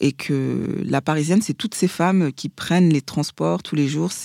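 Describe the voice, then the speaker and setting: A woman's very deep, low voice with a dark, mellow tone at a moderate pace, dry and close with no echo, on a very clean recording with a silent background. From Paris region, France. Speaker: fashion and beauty blogger. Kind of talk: casual interview.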